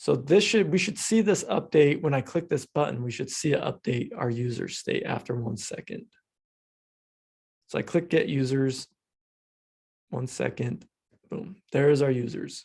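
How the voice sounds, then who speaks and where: With long, frequent pauses, a man speaks at a moderate pace in a fairly high pitch, his intonation lively and his voice somewhat breathy. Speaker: coding instructor. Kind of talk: lecture. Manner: casual, filler-heavy.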